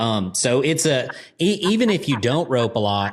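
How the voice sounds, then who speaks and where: Very clean recording of a man, silent background. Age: 30s. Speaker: podcast host and horseman. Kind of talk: casual chat. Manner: animated.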